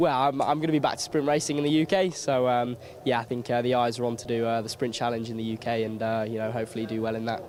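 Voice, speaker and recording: A man at a medium pitch rattles along at a very fast pace with hardly any pauses and ordinary pitch variation, against noticeable background noise. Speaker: racing driver. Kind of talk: interview.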